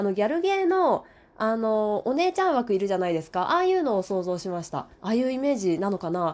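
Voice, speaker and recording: Her speech comes at a very fast pace, with very wide swings in pitch. The woman is recorded very cleanly against a silent background. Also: fairly high pitch for a woman. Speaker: radio talker. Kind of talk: casual solo monologue reading listener comments. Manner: warm, gentle, polite.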